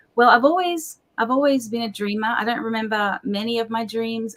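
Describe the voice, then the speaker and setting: A woman with an Australian accent, fairly high pitch, fairly quick pace and ordinary pitch variation. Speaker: pastor. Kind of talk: interview.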